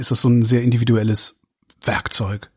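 This is a man's voice. It sounds somewhat breathy. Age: 50s. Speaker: podcast host. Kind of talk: interview.

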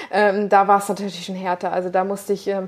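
A medium-pitched woman's voice at a fairly quick pace. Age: 20s. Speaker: bikini bodybuilding athlete and nutrition coach. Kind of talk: casual interview.

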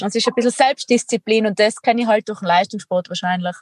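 A woman speaks with ordinary pitch variation in a somewhat breathy voice. The sound is dry and close, with no echo. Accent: Tyrolean. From Austria, Tyrol. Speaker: extreme athlete and entrepreneur. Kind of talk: interview conversation.

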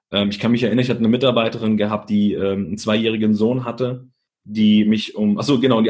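A man talks at a very fast pace. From Germany, Italian immigrant family. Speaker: leadership speaker. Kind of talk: interview.

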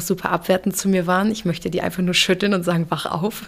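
Monotone, flat intonation at a fairly quick pace. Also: woman. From Hamburg, Germany (moved there at age two and a half). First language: English (speaking German). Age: 30s. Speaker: photographer. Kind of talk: interview testimony.

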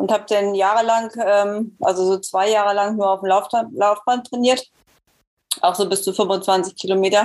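A woman speaks at a moderate pace with long, frequent pauses. Her medium-pitched voice has fairly even intonation and very even loudness. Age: 50s. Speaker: masters marathon runner. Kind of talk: interview.

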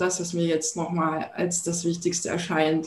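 An unremarkable speaking voice, this woman talks at a moderate pace with a fairly low pitch. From Thuringia, eastern Germany. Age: 40s. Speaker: entrepreneur and branding coach. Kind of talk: podcast interview.

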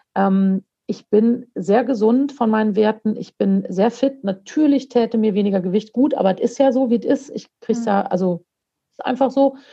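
This somewhat breathy voice has a dark, mellow tone, ordinary pitch variation and a moderate pace. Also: woman, fairly high pitch for a woman. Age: 40s. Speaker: coach and motivational speaker. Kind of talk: podcast interview.

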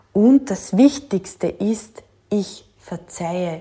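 The woman's tone is dark and mellow. Her voice sounds somewhat breathy. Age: 40s. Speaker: podcast host, working mother and manager. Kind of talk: solo monologue podcast.

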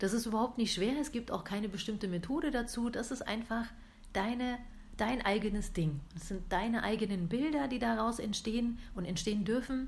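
A woman at a moderate pace, with audible room echo. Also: fairly high pitch for a woman, ordinary pitch variation. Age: 30s. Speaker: podcast host, coaching trainee. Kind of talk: casual monologue. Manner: hesitant, many filler sounds.

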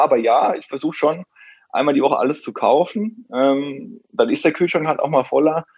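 A man with an unremarkable speaking voice talks at a fairly quick pace. His fairly high voice has lively intonation. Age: 30s. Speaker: personal trainer and nutrition coach. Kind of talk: interview.

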